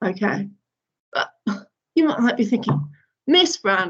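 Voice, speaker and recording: A woman speaks in a somewhat breathy voice. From northern UK. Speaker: primary school teacher. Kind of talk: online lesson for young children. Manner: animated.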